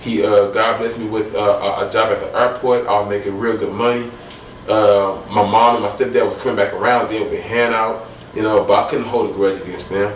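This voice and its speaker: A man with an American accent speaks at a fairly quick pace. There's audible room echo along with noticeable background noise. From Illinois. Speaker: guest sharing faith testimony. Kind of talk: testimony. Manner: halting.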